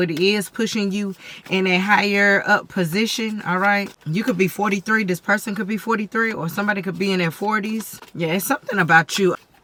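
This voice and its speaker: Noticeable background noise beneath a fairly quick delivery. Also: woman. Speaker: tarot reader. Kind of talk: tarot reading.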